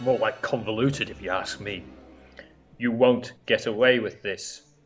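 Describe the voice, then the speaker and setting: A man speaks in a put-on character voice at a medium pitch and a moderate pace. Faint music plays in the background. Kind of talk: comic-book audio drama acting. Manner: impatient, cold, dismissive.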